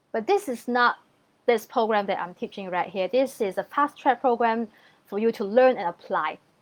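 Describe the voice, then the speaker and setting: A woman's fairly high-pitched voice with ordinary pitch variation at a moderate pace, against a quiet background. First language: not English. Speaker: feng shui consultant. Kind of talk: online training sales pitch. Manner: clear and simple wording.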